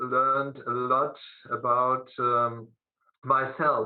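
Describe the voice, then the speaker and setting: This man speaks with a German accent. His pace is very slow. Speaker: teacher. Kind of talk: presentation at a video conference. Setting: video conference. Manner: halting, many fillers.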